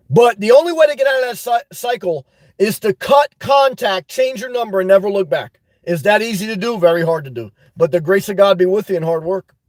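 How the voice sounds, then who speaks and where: A loud, high-pitched male voice with lively intonation at a fairly quick pace, in a dry, close sound with no echo. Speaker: YouTube live streamer giving advice. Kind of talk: live stream advice chat. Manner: intense.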